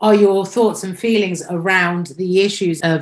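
A woman's voice proceeds at a moderate pace over a quiet background. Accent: British. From Britain. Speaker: podcast host. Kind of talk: interview.

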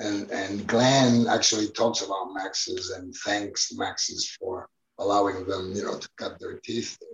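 Speaking fairly slowly, a man talks in a Spanish accent. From Spain, Barcelona. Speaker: documentary filmmaker. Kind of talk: interview. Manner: casual, many fillers.

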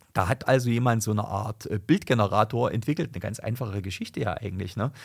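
Vocal fry runs through this man's medium-pitched voice. The recording is very clean, with a silent background. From Thuringia, Germany. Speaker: lawyer and politician. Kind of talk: political podcast chat. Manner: hesitant, many fillers.

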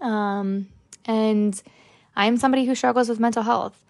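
Here is a woman with a normal speaking voice and an American accent. She talks at a fairly quick pace with fairly even intonation. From New Jersey. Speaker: podcast host, art therapy student. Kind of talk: casual solo monologue.

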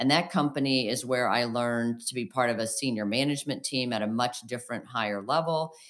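Very deep and low, this woman's voice moves with ordinary pitch variation. The recording is very clean, with a silent background. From downstate Illinois, US Midwest. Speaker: physician and company CEO. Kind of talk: interview.

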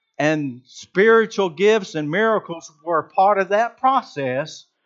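Over a quiet background, a man with a Georgia accent talks at a very slow pace with lively intonation. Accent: Southern (Georgia), noticeable. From Georgia (US South). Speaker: preacher. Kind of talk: sermon. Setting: church.

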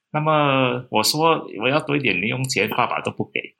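With a bright, sharp tone and lively intonation, a man talks at a medium pitch. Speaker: local historian and author. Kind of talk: interview. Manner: relaxed, conversational with fillers.

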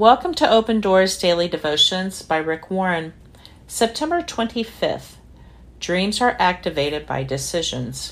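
In a normal speaking voice, a woman talks at a fairly slow pace with a fairly low pitch and lively intonation. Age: 60s. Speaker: devotional podcast host. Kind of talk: casual testimony; reading aloud.

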